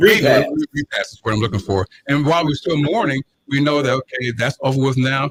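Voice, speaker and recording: Speaking at a fairly quick pace, a man with a fairly high pitch sounds somewhat breathy, with lively intonation and a dry, close sound with no echo. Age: 60s. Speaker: radio show panelist. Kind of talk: radio talk show discussion. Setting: radio studio.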